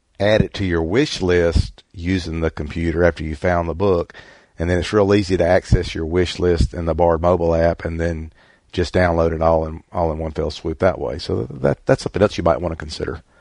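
A man speaks in a very deep, low voice with fairly even intonation and a strong Southern US accent, against a quiet background. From US South. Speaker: book club host. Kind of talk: casual book club discussion. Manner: rambling, halting, many fillers.

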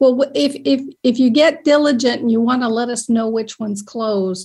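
A woman with an American accent has a plain, everyday voice, fairly high in pitch with ordinary variation. She talks at a moderate pace over a quiet background. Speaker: company founder and app developer. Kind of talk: presentation and Q&A. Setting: video call.

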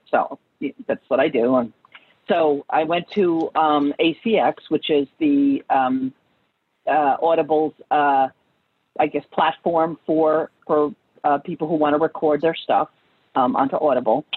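With a slight New York accent, a woman speaks at a fairly slow pace in a very deep, low voice, with ordinary pitch variation and very even loudness. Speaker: author and family therapist. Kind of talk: online group interview.

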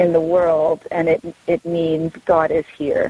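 Heard in a dry, close sound with no echo, an ordinary speaking voice with an American accent keeps a fairly even intonation. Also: woman. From Southern California. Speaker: novelist. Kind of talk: author talk. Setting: remote call.

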